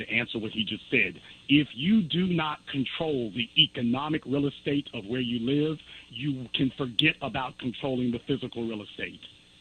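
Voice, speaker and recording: Ordinary pitch variation marks the medium-pitched speech of this man. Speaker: documentary filmmaker. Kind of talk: call-in radio interview. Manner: fast.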